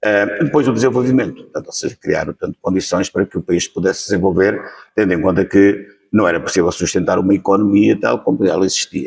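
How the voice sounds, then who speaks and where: Dry and close with no echo, a man talks at a very fast pace in a fairly low pitch with ordinary pitch variation. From central Portugal, Leiria region. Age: 70s. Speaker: witness of the revolution. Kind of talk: interview testimony. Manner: hesitant, many fillers.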